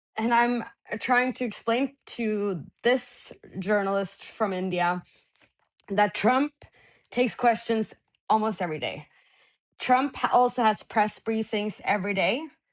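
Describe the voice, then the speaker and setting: A woman's fairly slow speech with a Norwegian accent and long, frequent pauses, against a quiet background. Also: fairly high pitch for a woman, ordinary pitch variation. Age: 20s. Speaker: journalist. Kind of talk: interview. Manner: halting.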